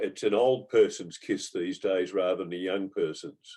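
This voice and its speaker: Speaking with an Australian accent, the man keeps a moderate pace. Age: 70s. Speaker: Rotary club member. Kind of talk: casual group discussion.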